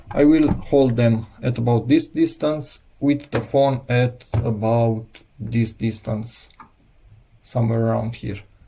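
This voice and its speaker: At a fairly slow pace, a man talks with a somewhat breathy, dark and mellow tone, medium pitch and fairly even intonation. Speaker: DIY electronics youtuber. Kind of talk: tutorial. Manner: halting.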